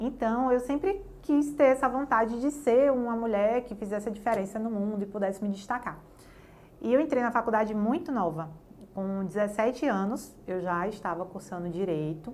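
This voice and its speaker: A woman with a plain, everyday voice speaks at a moderate pace and a fairly high pitch, with lively intonation. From Bahia, Brazil (Jacobina). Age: 30s. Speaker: lawyer. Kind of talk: interview testimony.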